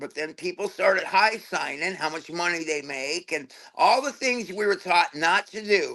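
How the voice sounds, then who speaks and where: A man's raised, projected voice, high-pitched, bright and sharp in tone, animated, at a moderate pace against a quiet background. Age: 60s. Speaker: tattoo artist. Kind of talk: casual chat. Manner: halting, repeats words.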